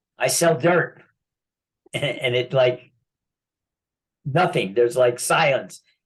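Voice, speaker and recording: At a very slow pace, a man speaks in a fairly high, somewhat breathy voice with ordinary pitch variation. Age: 70s. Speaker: land banking specialist. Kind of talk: casual chat.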